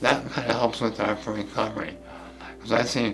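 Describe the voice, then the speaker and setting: In a room with audible echo and noticeable background noise, a man with a fairly low pitch talks at a moderate pace. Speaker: artist and cancer survivor. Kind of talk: interview testimony. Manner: halting.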